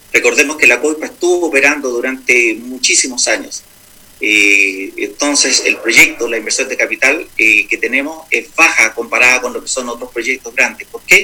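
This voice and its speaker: Noticeable background noise under a man speaking at a moderate pace. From Chile, Santiago. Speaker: mining executive. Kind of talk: radio interview.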